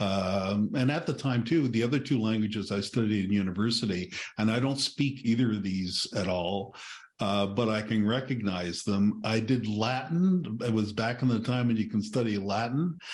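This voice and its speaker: At a moderate pace and medium pitch, a man speaks with very even loudness and ordinary pitch variation in an unremarkable speaking voice. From Newfoundland, Canada. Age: 60s. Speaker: author and retired librarian. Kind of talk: podcast interview.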